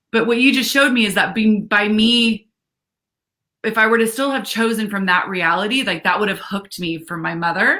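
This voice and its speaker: A loud woman's voice, bright and sharp in tone, at a fairly quick pace with ordinary pitch variation. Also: fairly high pitch for a woman. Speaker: live stream co-host. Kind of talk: casual chat. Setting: livestream video call. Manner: animated.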